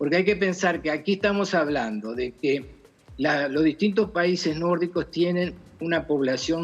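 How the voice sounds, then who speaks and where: Over music in the background, a man with a fairly high pitch speaks at a moderate pace with ordinary pitch variation. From Uruguay. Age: 70s. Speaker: philosopher. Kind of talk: interview. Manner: halting.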